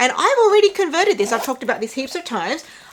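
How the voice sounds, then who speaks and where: Over noticeable background noise, a woman with an Australian accent speaks with very wide pitch swings. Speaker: handbag vlogger. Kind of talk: casual review vlog.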